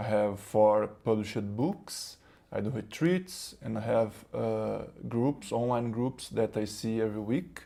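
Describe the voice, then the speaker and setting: A man with a Brazilian accent, fairly low in pitch and dark, mellow in tone. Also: ordinary pitch variation, fairly slow pace. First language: Portuguese. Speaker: spiritual teacher. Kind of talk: spiritual talk. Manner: halting, many fillers and repetitions.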